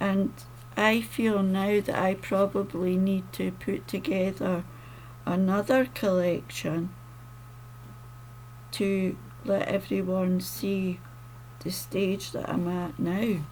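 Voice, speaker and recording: Speaking at a very slow pace with long, frequent pauses, a woman has a slight Scottish accent. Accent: mildly Scottish, toned down. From Scotland. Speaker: poet and author. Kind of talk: casual talk to camera.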